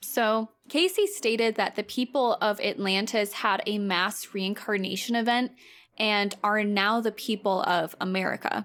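With an unremarkable speaking voice, a woman of fairly high pitch talks at a fairly slow pace, her loudness very even and her pitch variation ordinary. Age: 20s. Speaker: podcast co-host. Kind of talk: casual chat.

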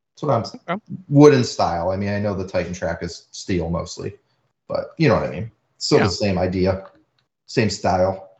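A fairly low-pitched male voice, somewhat breathy, with lively intonation and a fairly quick pace. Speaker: podcast host. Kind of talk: casual chat, podcast.

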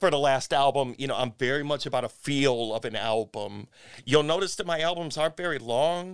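Delivered at a fairly quick pace with ordinary pitch variation, the voice carries a Midwestern American accent. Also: man, fairly high pitch for a man. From US Midwest, Cleveland. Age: 50s. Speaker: musician. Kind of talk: casual chat. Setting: studio.

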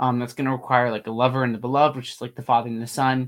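A man's medium-pitched voice on a very clean recording with a silent background. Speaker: podcast host. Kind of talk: interview about theology. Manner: fast talker.

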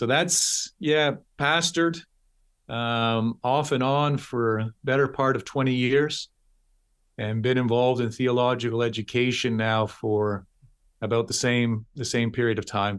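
With a Canadian accent, an unremarkable speaking voice moves at a fairly slow pace with ordinary pitch variation over a very clean recording and silent background. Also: man, medium pitch for a man. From Canada, Toronto, Ontario. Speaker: pastor and theology professor. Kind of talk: interview.

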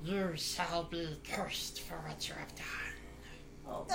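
A put-on character voice, menacing in tone, at a very slow pace over loud background noise

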